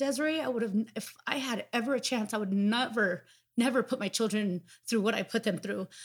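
Here a woman talks at a fairly quick pace. Her pitch is fairly high, with ordinary variation. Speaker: recovering addict. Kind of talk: testimony. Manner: loud.

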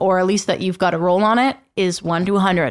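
Fairly quick, energetic and animated delivery on a very clean recording with a silent background. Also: woman. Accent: western Canadian. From western Canada, Fraser Valley. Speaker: country radio host. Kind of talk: casual chat. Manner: energetic, animated.

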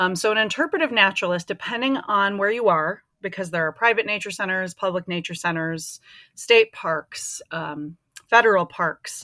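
Speaking with an Upper Midwest accent, a woman has a bright, sharp tone, a moderate pace and ordinary pitch variation, on a very clean, silent-background recording with a dry, close sound and no echo. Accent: Upper Midwest American. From Minnesota. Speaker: interpretive naturalist. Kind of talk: casual interview.

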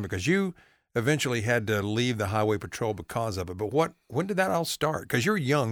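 Against a silent background in a very clean recording, a man with a North Carolina accent talks at a fairly quick pace, his medium-pitched voice making very wide pitch swings. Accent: Southern US (North Carolina). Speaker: podcast host. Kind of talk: casual interview; scripted intro.

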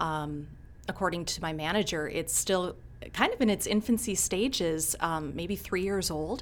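This woman has an Upper Midwest accent. Her pitch is fairly low. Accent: Upper Midwest American. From Minnesota. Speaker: county communications officer, former TV news anchor. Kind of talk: casual interview chat.

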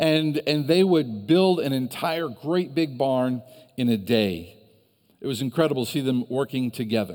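A man with an American accent speaks at a moderate pace in a medium pitch, his intonation lively. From US Midwest, Northeast Ohio. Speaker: pastor. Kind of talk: sermon.

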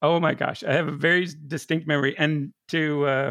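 A man with an unremarkable speaking voice and fairly high pitch speaks at a moderate pace, with a dry, close sound and no echo. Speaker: podcast producer. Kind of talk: casual chat.

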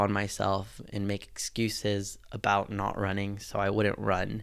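The voice is a man's, with a fairly low pitch. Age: 20s. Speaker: podcast host. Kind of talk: solo podcast monologue.

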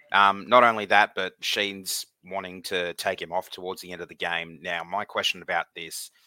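A man with an Australian accent speaks at a moderate pace in a very deep, low pitch with a bright, sharp tone and monotone, flat intonation, recorded dry and close with no echo. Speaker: podcast co-host. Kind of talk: casual chat.

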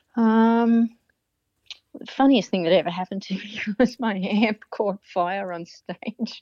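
A woman speaks at a medium pitch and fairly slow pace, with fairly even intonation and a dry, close sound with no echo. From Australia. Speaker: guitarist and singer-songwriter. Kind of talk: casual interview.

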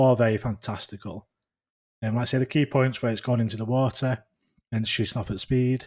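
Man of medium pitch with a northern English accent, fairly quick and fairly even in intonation. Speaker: podcast host, sighting report collector. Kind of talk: casual chat.

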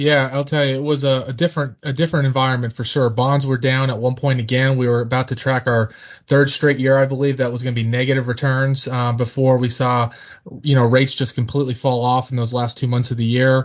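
A man with an American accent speaks at a very fast pace, somewhat breathy and in a monotone, flat delivery. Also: medium pitch for a man. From Pennsylvania. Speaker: financial podcast host. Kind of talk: casual chat about markets.

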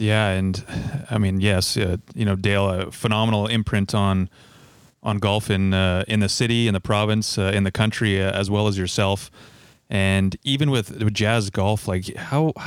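At a fairly slow pace and fairly low pitch, a man with a Canadian accent speaks in a normal speaking voice with fairly even intonation and very even loudness, in a very clean recording with a silent background. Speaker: podcast host. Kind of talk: casual interview.

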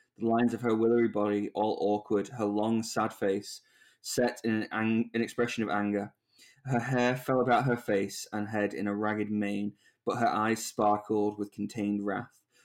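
A man's fairly low voice in a flat monotone at a moderate pace, on a very clean recording with a silent background. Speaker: podcast host. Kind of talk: casual chat.

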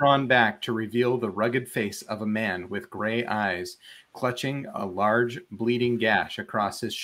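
The text is read aloud plainly. Nothing more is added to the reading.

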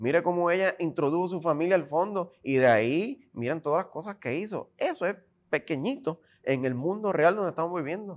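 Lively intonation and a fairly quick pace carry this voice over a quiet background. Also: man, high pitch for a man. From Puerto Rico. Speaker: independent gubernatorial candidate. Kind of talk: political interview.

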